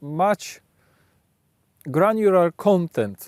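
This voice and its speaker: Spoken at a very slow pace in a Polish accent, the voice has a dry, close sound with no echo. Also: man. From Poland. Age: adult. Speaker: video blogger. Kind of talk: reflective monologue. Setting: outdoors, late evening. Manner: halting, frequent self-corrections.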